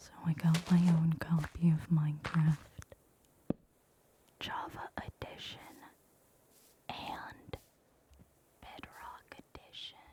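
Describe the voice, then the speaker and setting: The speaker is whispering at a very slow pace. Long, frequent pauses break up the speech. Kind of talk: ASMR soft-spoken whispered ramble over gameplay. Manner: soft-spoken, whispered.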